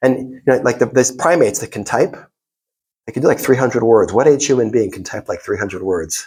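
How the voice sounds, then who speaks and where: Somewhat breathy, a man talks at a medium pitch and a very fast pace. His loudness swings widely. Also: ordinary pitch variation. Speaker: rabbi lecturer. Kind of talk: lecture. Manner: animated.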